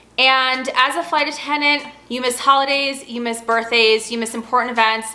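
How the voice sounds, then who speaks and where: Noticeable background noise sits behind a raised, projected voice. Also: woman, high pitch for a woman. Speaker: flight attendant vlogger. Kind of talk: casual Q&A vlog. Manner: fast.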